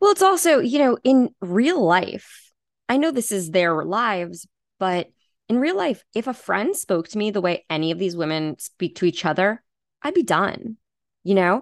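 A woman speaks with an American accent at a moderate pace and a medium pitch, making very wide pitch swings. The sound is dry and close with no echo, over a quiet background. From US, Long Island, New York. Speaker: podcast guest discussing reality TV. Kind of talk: casual chat.

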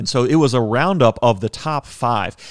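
Recorded very cleanly against a silent background, with a dry, close sound and no echo, a man speaks at a moderate pace in an ordinary speaking voice, medium in pitch with ordinary pitch variation. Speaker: podcast host and car show producer. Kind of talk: casual chat.

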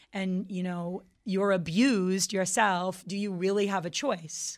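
A woman with a plain, everyday voice talks at a fairly slow pace in a medium pitch with fairly even intonation. The recording is very clean, with a silent background. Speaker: band guitarist and singer. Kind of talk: casual radio interview. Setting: radio studio.

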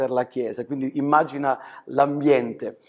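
A man's fairly high-pitched voice. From southern Italy, Calabria (Crotone); later Germany. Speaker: pastor. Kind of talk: interview testimony. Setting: studio.

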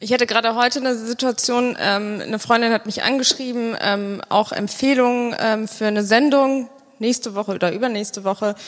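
A woman speaks with a fairly high pitch and fairly even intonation. She has an unremarkable speaking voice and a fairly quick pace. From Bonn, Germany. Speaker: podcast host. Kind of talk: live interview on stage. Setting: stage with live audience.

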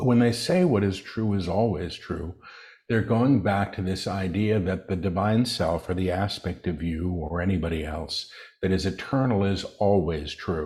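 A man with a very deep, low pitch, ordinary pitch variation, and a somewhat breathy sound. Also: moderate pace. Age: 60s. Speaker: spiritual channel and author. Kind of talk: interview.

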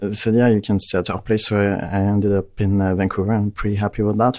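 A man with a French accent, fairly low in pitch and at a fairly quick pace. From France. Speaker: tech company CEO. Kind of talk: interview. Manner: hesitant, many fillers.

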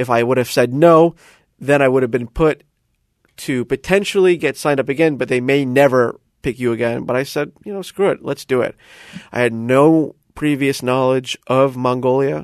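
A man with an unremarkable speaking voice talks at medium pitch in an American accent. His pace is moderate against a quiet background. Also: ordinary pitch variation, dry, close sound with no echo. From US South, South Florida. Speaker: DJ. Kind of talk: interview.

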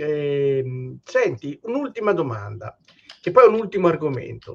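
Speaking very slowly, a man uses lively intonation in a fairly high pitch. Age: 50s. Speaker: podcast host. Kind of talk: casual interview.

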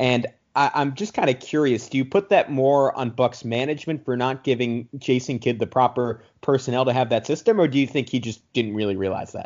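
A man talks at a fairly quick pace in an ordinary speaking voice. His pitch is medium with ordinary pitch variation. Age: 20s. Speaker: sports podcast host. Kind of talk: casual sports chat.

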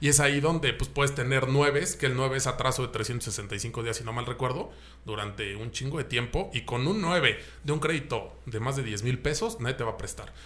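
At a moderate pace, a man is talking. His medium-pitched voice shows ordinary pitch variation. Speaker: car podcast host. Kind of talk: casual chat.

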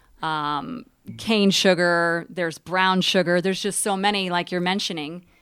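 A woman's fairly low voice, a plain, everyday voice, at a moderate pace with fairly even intonation, on a very clean recording with a silent background. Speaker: radio co-host. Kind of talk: radio talk show. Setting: radio studio.

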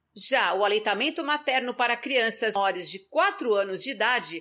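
In a very clean recording with a silent background, a woman speaks with a bright, sharp tone. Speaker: podcast host. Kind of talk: scripted health podcast talk.

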